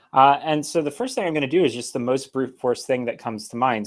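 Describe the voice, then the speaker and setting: This man has an ordinary speaking voice. His pitch is medium, with ordinary variation. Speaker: programming tutorial streamer. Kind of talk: live-streamed lecture. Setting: live stream. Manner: frequent fillers (um, uh).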